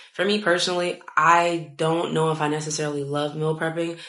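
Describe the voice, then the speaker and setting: A woman speaks with audible room echo. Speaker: lifestyle vlogger. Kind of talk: casual advice monologue. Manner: fast; animated.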